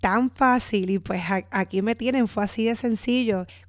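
A woman speaks with fairly even intonation at a fairly high pitch. The recording is very clean with a silent background. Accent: Puerto Rican. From Puerto Rico. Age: 30s. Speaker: podcast host. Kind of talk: casual monologue.

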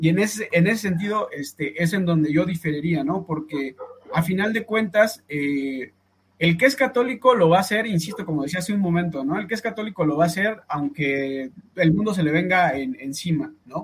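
A man speaks in a high voice with lively intonation. His pace is moderate. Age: 30s. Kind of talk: podcast debate.

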